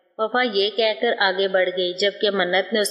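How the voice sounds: The voice reads in a natural way.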